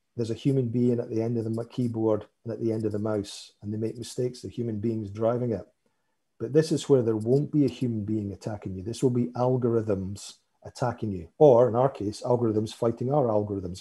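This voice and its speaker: Somewhat breathy and dark, mellow in tone, a man talks at a fairly quick pace and medium pitch on a very clean recording with a silent background. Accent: Scottish. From Scotland. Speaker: cybersecurity vendor expert. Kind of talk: panel discussion.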